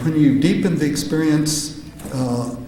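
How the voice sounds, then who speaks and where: Ordinary pitch variation from a man, amid noticeable background noise and audible room echo. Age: 70s. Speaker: psychedelic researcher and conference speaker. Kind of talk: conference talk. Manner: halting, many filler sounds.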